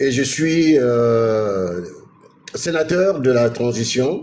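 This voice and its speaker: This man's voice sits at medium pitch. His intonation is lively. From Gabon. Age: 60s. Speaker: politician. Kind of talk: interview.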